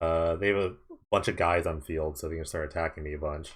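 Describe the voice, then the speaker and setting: The delivery is very fast and monotone, with flat intonation. The background is quiet. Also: man. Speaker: gaming streamer. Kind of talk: live gameplay commentary. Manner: soft-spoken; casual.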